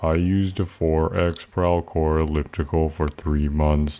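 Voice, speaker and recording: In a put-on character voice, a man speaks with a very deep, low pitch. His delivery is a fairly slow monotone with flat intonation. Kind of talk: TV commercial read.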